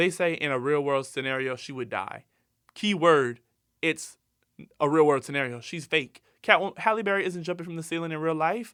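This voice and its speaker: On a very clean recording with a silent background, a man with a bright, sharp, animated tone speaks at a fairly quick pace and fairly high pitch, with ordinary pitch variation. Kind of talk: casual solo podcast commentary.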